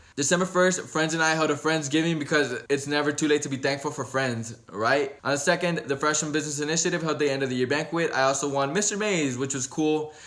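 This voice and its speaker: With an American accent, a man speaks at a very fast pace, his fairly high pitch kept to fairly even intonation. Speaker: vlogger. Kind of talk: year-review vlog narration.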